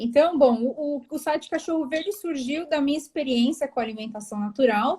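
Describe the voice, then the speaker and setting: This woman's voice is high-pitched with a dark, mellow tone and ordinary pitch variation. She barely pauses, and her loudness swings widely. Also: moderate pace. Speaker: veterinarian, animal nutrition specialist. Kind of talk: live interview. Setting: live video call.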